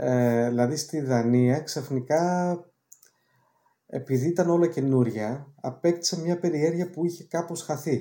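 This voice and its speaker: At a fairly slow pace, a man with a fairly high pitch and a dark, mellow tone talks with ordinary pitch variation. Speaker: film director and screenwriter. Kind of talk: interview. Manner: hesitant, many filler sounds.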